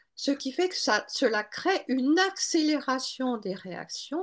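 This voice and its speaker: Her pitch swings very widely as this woman speaks. The background stays quiet. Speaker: Bach flower practitioner and author. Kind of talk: webinar lecture. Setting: online webinar.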